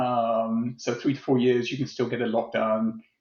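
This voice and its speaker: A man with a British accent, medium pitch and a fairly slow pace. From UK. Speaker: tech executive. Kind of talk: interview. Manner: hesitant, many fillers.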